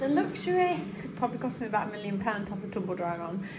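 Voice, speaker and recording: A woman's voice comes through over noticeable background noise. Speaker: home vlogger. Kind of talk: casual vlog chat. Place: kitchen. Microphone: phone near.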